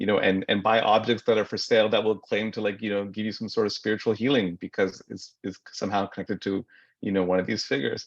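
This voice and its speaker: Against a quiet background, a man with a fairly low voice speaks at a fairly quick pace. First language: Marathi. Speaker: writer. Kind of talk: panel discussion. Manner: halting, with many repetitions.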